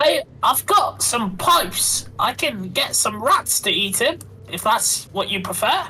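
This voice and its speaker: Over clear music in the background, a put-on character voice speaks at a high pitch and a fairly slow pace. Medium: actual play. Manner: sarcastic, joking.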